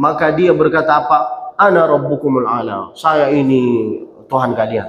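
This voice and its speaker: Audible room echo surrounds a man speaking at a moderate pace in a Malay accent. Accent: Malay-tinged Indonesian. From Saudi Arabia, Mecca. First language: Arabic (speaking Indonesian). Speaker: preacher. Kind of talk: sermon. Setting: mosque. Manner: not fluent in Indonesian.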